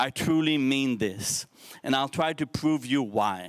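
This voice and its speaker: On a very clean recording with a silent background, a man with a French accent and a fairly high pitch speaks at a fairly slow pace with ordinary pitch variation. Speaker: social entrepreneur, speaker. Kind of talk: keynote speech to youth forum. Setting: stage with audience. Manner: halting, self-correcting.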